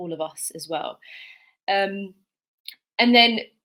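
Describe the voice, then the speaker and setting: With a British accent, a woman speaks fairly slowly at medium pitch, her tone bright and sharp and her pitch variation ordinary. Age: young. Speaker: teacher. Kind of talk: panel talk.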